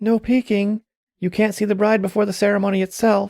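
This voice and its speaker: A female-sounding voice puts on a character voice at a medium pitch. The intonation stays monotone and flat. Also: fairly quick pace. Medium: read story. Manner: light, playful.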